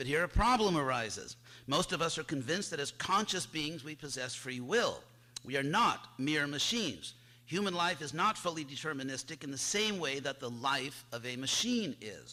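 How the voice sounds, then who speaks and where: A man talks at a fairly high pitch. His intonation is lively. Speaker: conference speaker, philosophy scholar. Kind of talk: lecture. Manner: fast.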